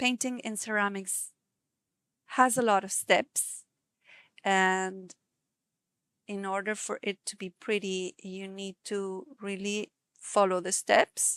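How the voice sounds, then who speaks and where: A woman with a non-native accent speaks at a very slow pace and a medium pitch, with monotone, flat intonation, a relaxed tone, long, frequent pauses and big swings in loudness. The recording is very clean, with a silent background and a dry, close sound with no echo. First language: not English. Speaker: ceramic painter and live streamer. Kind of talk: casual live-stream chat while painting. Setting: live stream. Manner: relaxed, with pauses and word searching.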